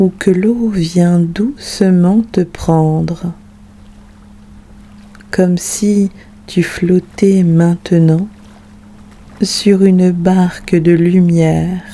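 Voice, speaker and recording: At a very slow pace with long, frequent pauses, the voice comes through noticeable background noise. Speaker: meditation guide. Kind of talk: guided sleep meditation.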